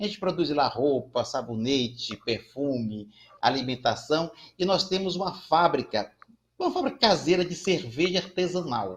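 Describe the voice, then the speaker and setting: A man's high-pitched voice with lively intonation. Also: moderate pace. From Brazil, Ceará (Fortaleza). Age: 60s. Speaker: community banker and social entrepreneur. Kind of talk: panel discussion.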